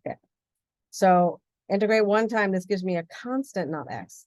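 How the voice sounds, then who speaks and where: Her voice is medium-pitched, and this woman speaks with ordinary pitch variation. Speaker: physics instructor. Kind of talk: lecture. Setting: recorded video lesson. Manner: fast.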